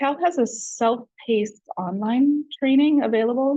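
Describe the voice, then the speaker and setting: Her voice is high-pitched with a dark, mellow tone and ordinary pitch variation as the woman speaks. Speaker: adult education trainer. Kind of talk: training presentation.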